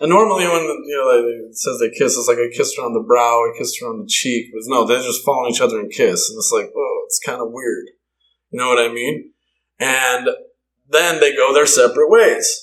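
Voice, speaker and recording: Speaking with an American accent at a fairly quick pace, a man shows big swings in loudness. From US Mountain West (Bear Lake, Idaho). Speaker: musician. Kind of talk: casual interview.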